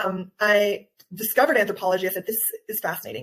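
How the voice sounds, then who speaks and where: Delivered at a fairly quick pace, a normal speaking voice with an American accent keeps its intonation fairly even. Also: woman. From Guatemala, raised by US parents. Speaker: nutritional anthropologist and wellness coach. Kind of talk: interview.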